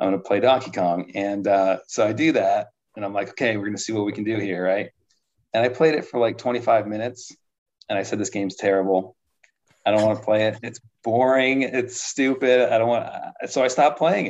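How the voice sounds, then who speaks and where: With an American accent, a man has a normal speaking voice, a medium pitch and ordinary pitch variation. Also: fairly quick pace. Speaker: competitive arcade gamer. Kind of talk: casual chat.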